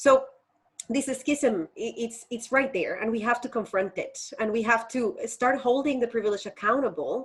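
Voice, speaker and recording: A woman with a Colombian accent talks at a moderate pace, high in pitch with ordinary pitch variation. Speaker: faith educator and activist. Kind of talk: interview conversation.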